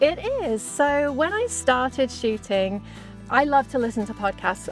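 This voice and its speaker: A woman with an English accent and fairly high pitch, with music in the background. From England. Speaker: podcast host and mounted shooter. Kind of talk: interview answer. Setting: outdoors.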